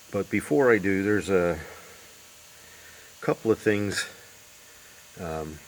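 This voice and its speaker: Noticeable background noise sits under fairly slow speech broken by long, frequent pauses. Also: man. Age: 60s. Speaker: DIY car restorer. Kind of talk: casual tutorial vlog. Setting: garage. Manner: hesitant, many fillers.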